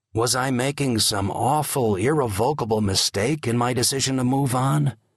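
A somewhat breathy man's voice at medium pitch with ordinary pitch variation. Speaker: audiobook narrator. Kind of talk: dramatic audiobook narration of a memoir, reading aloud in a vivid, storytelling style. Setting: studio. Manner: measured, evocative, slow and atmospheric pacing with hushed, reflective emphasis.

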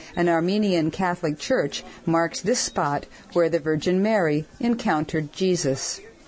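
Moderate-paced speech from a woman in a normal speaking voice, with a fairly low pitch and ordinary pitch variation. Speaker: travel audio narrator. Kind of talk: documentary travel narration. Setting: outdoors on location.

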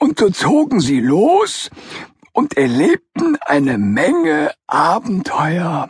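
In a put-on character voice, a man talks at a high pitch and a very slow pace. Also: dry, close sound with no echo. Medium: read story. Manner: storytelling, dramatic.

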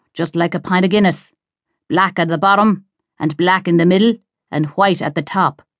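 A woman with an Irish accent speaks in an animated tone at a medium pitch. The background is quiet. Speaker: audiobook narrator. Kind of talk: dramatic audiobook narration of a thriller, with character voices. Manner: tense, suspenseful pacing that builds the menace; animated, shifting into gruff, impatient Cork voices for dialogue.

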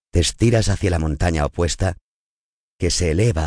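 A man with a very deep, low pitch and vocal fry talks at a moderate pace. His pitch varies in an ordinary way against a quiet background. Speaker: audiobook narrator. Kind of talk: guided meditation.

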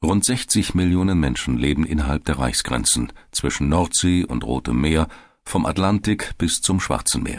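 This man speaks at a moderate pace in a very deep, low pitch, with lively intonation and vocal fry. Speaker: audiobook narrator. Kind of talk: dramatic documentary narration, scripted and read aloud. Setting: studio. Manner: vivid, suspenseful, building tension like live race commentary; measured, formal, authoritative.

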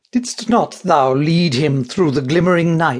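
Some breathiness runs through this man's speech, and his pitch shifts in a typical way. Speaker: audiobook actor. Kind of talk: dramatic audiobook narration of a Shakespeare play. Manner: imperious, indignant, commanding, stately and wounded in tone.

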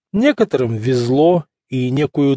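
A man with a theatrical, dark, mellow tone at a medium pitch, with lively intonation, in a dry, close sound with no echo and a quiet background. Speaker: audiobook narrator. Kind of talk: dramatic audiobook narration, period novel read aloud with voiced dialogue. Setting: studio. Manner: measured, theatrical, elegant storytelling pace with shifting character voices.

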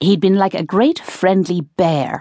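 Intonation stays fairly even during this plain reading aloud.

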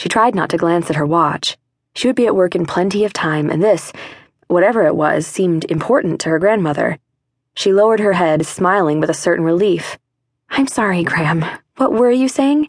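Speaking fairly quickly with lively intonation, a woman uses a normal speaking voice at a fairly low pitch. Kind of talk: audiobook narration. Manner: measured, storytelling pace with a warm tone; shifts to an Irish brogue for the grandmother's dialogue.

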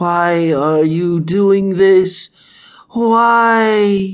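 Putting on a character voice, a man speaks at a high pitch with fairly even intonation and a hissing sound. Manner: hissing, pleading.

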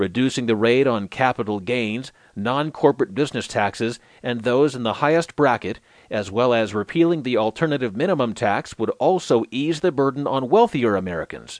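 With a normal speaking voice, a man talks at medium pitch and a fairly quick pace with lively intonation, in a dry, close sound with no echo and a quiet background. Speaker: audiobook newsreader. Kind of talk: scripted news digest narration, read aloud. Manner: formal, even and measured, steady newsreader delivery; neutral, clear, unemotional.

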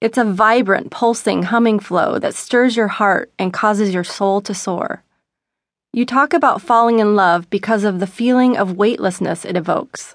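At a moderate pace and a fairly high pitch, a woman speaks in a plain, everyday voice against a quiet background. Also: ordinary pitch variation. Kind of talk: audiobook narration, reading a self-help book aloud. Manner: gentle, flowing, expressive reading.

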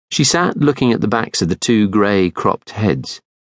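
Reading done in an unforced voice

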